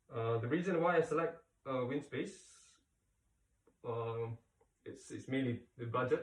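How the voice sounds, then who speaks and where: A man with a Malaysian accent speaks at a fairly slow pace, somewhat breathy, with ordinary pitch variation. He leaves long, frequent pauses. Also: medium pitch for a man. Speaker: cycling product reviewer. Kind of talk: casual product review. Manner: halting, many fillers.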